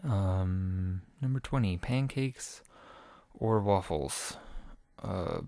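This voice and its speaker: Soft-spoken and very slow, a man uses a fairly low pitch, a dark, mellow tone and lively intonation. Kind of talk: casual talk to camera; survey answers read aloud.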